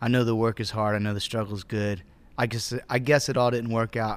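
A man with a Southern US accent at a medium pitch, fairly quick and in monotone, flat intonation. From US South, Georgia (Acworth, near Atlanta). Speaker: musician, band member. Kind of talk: casual interview chat.

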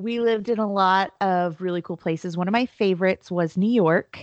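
In a plain, everyday voice with an American accent, a woman speaks at a moderate pace with medium pitch and ordinary pitch variation. The sound is dry and close with no echo, over a quiet background. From US, military family moving around. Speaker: MC, speaker and finance entrepreneur. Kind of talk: casual interview chat.

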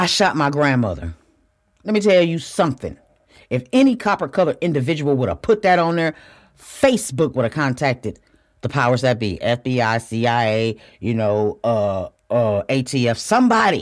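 An animated tone at a moderate pace on a very clean recording with a silent background. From US Midwest, Flint, Michigan. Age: 50s. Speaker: podcast host. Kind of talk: solo podcast monologue.

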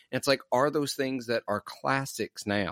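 A man with a Southern US accent talks at a moderate pace in a very clean, dry, close recording with a silent background and no echo. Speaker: podcast host. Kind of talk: casual interview.

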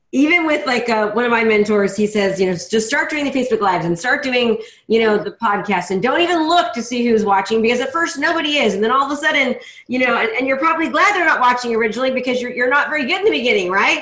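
A woman's high voice, very fast and lively in intonation, over noticeable background noise. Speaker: podcast host. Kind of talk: casual interview. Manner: fast talker, high energy.

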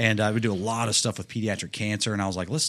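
In a very clean recording with a silent background, a man with an unremarkable speaking voice talks fairly quickly at a medium pitch. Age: 30s. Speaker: monster truck driver and author. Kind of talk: casual chat.

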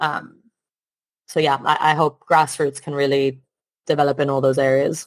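A woman speaks in a very deep, low pitch with a monotone, flat intonation and long, frequent pauses. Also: moderate pace. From Italy. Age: 30s. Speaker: sports executive and basketball presenter. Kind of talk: interview.

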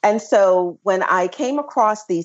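A woman with a Memphis accent speaks at a fairly slow pace with lively intonation. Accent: Southern US (Memphis). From US South, Memphis, Tennessee. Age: 40s. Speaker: traveler and business owner. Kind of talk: casual interview.

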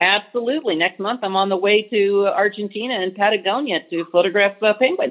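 A woman with an American accent speaks at a medium pitch and fairly quick pace, with hardly any pauses and ordinary pitch variation. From Los Angeles, California. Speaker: business professor and travel photographer. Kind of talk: casual interview chat.

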